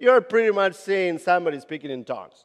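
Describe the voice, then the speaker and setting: A man speaks at a high pitch with a Latin American accent. His intonation is lively. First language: Spanish. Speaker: youth ministry leader. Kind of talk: conference talk. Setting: stage with audience. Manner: halting.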